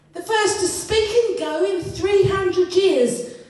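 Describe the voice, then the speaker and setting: There is noticeable background noise behind the voice. A woman speaks at a very slow pace. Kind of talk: slam poetry performance.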